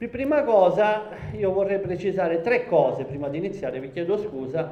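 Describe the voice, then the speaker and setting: A high-pitched male voice with lively intonation and a moderate pace, amid noticeable background noise and audible room echo. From Sicily, Valguarnera Caropepe (Gallo-Italic area). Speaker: sociology professor. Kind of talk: public lecture. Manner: halting, many fillers.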